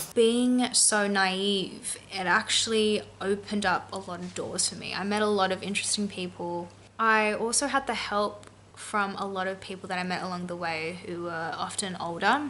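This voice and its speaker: With an Australian accent, a woman speaks at a moderate pace in a bright, sharp tone with ordinary pitch variation. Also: medium pitch for a woman. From Australia, Sydney. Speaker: lifestyle vlogger. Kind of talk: personal vlog narration.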